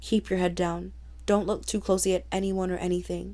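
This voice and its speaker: A quiet, rumbling put-on character voice from a woman at a fairly quick pace, in a very clean recording with a silent background. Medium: read story. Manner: quiet, low, grim.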